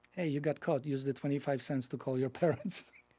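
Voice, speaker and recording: In a Polish accent, a man with a fairly high pitch and a dark, mellow tone speaks with fairly even intonation on a very clean recording with a silent background. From Poland. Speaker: nonprofit executive director. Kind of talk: podcast interview, personal story.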